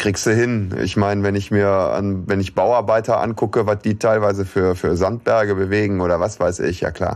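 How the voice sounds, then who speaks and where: A man with an ordinary speaking voice, fairly low in pitch, at a moderate pace with hardly any pauses, fairly even intonation and very even loudness. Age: middle-aged. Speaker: podcast co-host. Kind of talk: casual chat.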